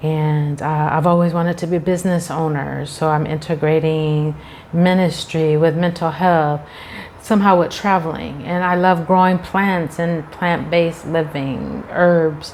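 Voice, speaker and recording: A woman's fairly low, monotone, flat voice at a fairly slow pace amid noticeable background noise. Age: 50s. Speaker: teacher and YouTuber. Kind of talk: casual talk to camera.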